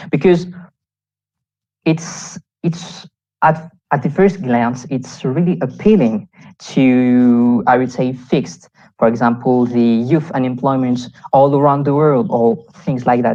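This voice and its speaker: A woman's very deep, low voice with a dark, mellow tone and a French accent, lively in intonation, at a fairly slow pace with long, frequent pauses. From Réunion Island. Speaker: youth delegate. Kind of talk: conference talk. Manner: halting.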